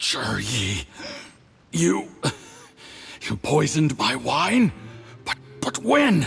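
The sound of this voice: A man puts on a character voice with a husky, rough edge, vocal fry and a fairly bright tone, pitched fairly high. He speaks at a very slow pace with very wide pitch swings, as faint music plays in the background.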